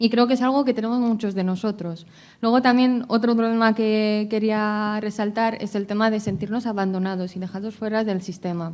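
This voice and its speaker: On a very clean recording with a silent background, a woman with a fairly high pitch speaks at a moderate pace with hardly any pauses. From abroad, outside Spain. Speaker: patient advocate. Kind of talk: conference talk, patient testimony. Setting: congress panel with audience. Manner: hesitant, many fillers.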